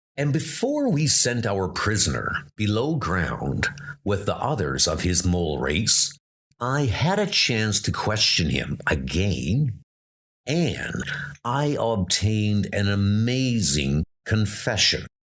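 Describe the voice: At a slow pace, a man puts on a character voice with a fairly low pitch and very wide pitch swings. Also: fairly bright tone.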